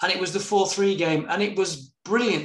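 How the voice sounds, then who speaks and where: Moderate pace with fairly even intonation. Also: man. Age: 40s. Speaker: podcast host. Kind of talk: casual interview.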